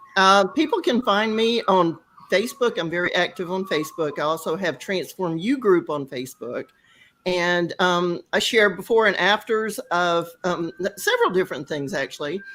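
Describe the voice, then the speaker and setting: A woman at a medium pitch and moderate pace, a normal speaking voice, on a very clean recording with a silent background. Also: lively intonation. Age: 60s. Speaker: wellness coach and home organizer. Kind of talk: panel talk show interview.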